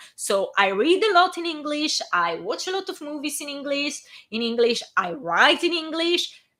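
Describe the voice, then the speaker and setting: A woman's raised, projected voice with an Italian accent, high in pitch, with very wide pitch swings. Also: moderate pace. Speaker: fan fiction author reading her own work. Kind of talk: casual chat; reading aloud. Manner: halting, stumbles on words.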